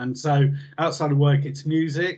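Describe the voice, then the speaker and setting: Somewhat breathy and fairly high in pitch, a man with a southern English accent talks at a fairly quick pace. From southern England, New Forest. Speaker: health service trainer. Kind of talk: casual chat.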